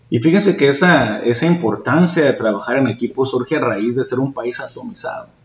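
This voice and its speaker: A man's fairly high-pitched voice at a fairly quick pace, lively in intonation with hardly any pauses, over noticeable background noise. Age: 40s. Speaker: jiu-jitsu instructor. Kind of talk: interview. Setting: martial arts academy.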